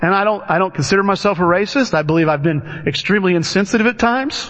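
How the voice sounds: A man at a fairly quick pace with a fairly bright tone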